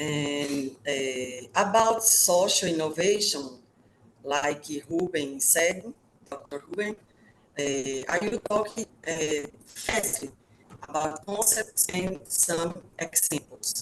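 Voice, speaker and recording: Over noticeable background noise, a woman with a fairly low pitch talks at a very slow pace with lively intonation. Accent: Brazilian Portuguese. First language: Portuguese. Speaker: professor. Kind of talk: webinar presentation. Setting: video call. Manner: halting, with many filler sounds.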